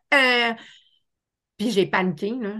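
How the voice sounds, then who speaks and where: A woman with a Quebec accent talks at medium pitch with ordinary pitch variation. Her tone is animated and her pace fairly slow. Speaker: life coach and hypnotherapist. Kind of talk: casual interview chat.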